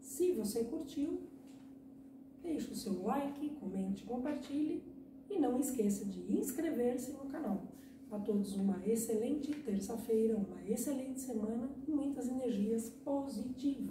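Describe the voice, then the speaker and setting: In a Brazilian accent, a woman speaks at a fairly slow pace with ordinary pitch variation, amid noticeable background noise and audible room echo. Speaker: poet and video blogger. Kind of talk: poetry reading of a short tautogram, after casual YouTube intro. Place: home room.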